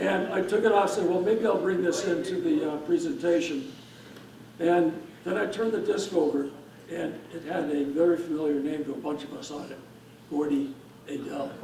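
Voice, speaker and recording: A man's high-pitched voice at a fairly quick pace, with long, frequent pauses, ordinary pitch variation, audible room echo and noticeable background noise. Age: 70s. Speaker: hall of fame inductee, veteran disc thrower. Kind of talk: acceptance speech.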